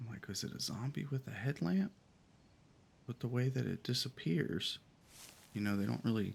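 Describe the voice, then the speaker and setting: This man talks at a moderate pace with lively intonation and a medium pitch. His voice is somewhat breathy, broken by long, frequent pauses. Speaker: gaming video creator. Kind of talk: casual gameplay commentary. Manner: hesitant, many fillers.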